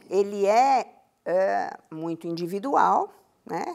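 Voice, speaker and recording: In a very clean recording with a silent background, a woman at medium pitch speaks with very wide pitch swings. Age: 70s. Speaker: educator on happiness science. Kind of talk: TV interview.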